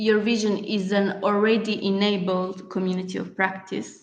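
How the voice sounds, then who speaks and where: Music plays in the background behind a woman at medium pitch. She talks at a fairly slow pace in a flat monotone. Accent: non-native. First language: not English. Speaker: workshop facilitator. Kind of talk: online workshop lecture. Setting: video call. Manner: hesitant, many fillers.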